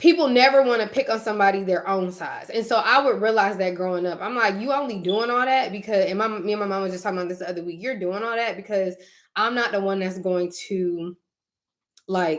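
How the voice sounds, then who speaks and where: A woman at a fairly quick pace, medium pitch and ordinary pitch variation. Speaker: YouTuber. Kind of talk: casual chat. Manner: fast.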